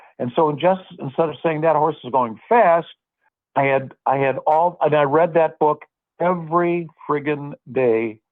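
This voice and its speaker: A man with an American accent and a normal speaking voice, fairly high in pitch, at a fairly slow pace with ordinary pitch variation. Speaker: horse racing track announcer. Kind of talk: interview answer. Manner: casual, conversational.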